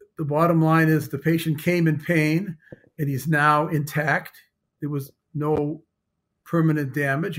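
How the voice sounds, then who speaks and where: This man has an unremarkable speaking voice at a fairly high pitch. He talks at a moderate pace with fairly even intonation. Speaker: dentist specializing in root canals. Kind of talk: courtroom testimony.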